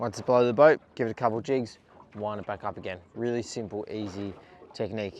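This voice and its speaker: Fairly quick and fairly low-pitched, a man talks with an Australian accent. His pitch varies in an ordinary way. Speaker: fishing YouTuber. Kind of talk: casual fishing vlog commentary.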